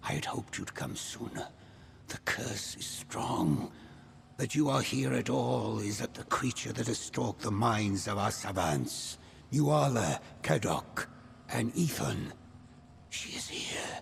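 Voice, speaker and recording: Through clear background noise, a man in a put-on character voice speaks at a fairly slow pace with a fairly low pitch and very wide pitch swings. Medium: video game. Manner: grave, measured.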